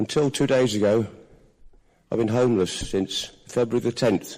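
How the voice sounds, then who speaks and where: Recorded very cleanly against a silent background, a man with a medium pitch and a dark, mellow tone speaks at a moderate pace. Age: 70s. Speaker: audience member asking a question. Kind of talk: audience question at public forum. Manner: emphatic.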